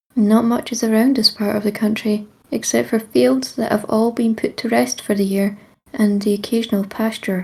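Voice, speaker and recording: A woman speaks in a Scottish accent at a moderate pace. Her pitch is fairly high and varies in an ordinary way. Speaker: storyteller. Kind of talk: second-person creepy story narration.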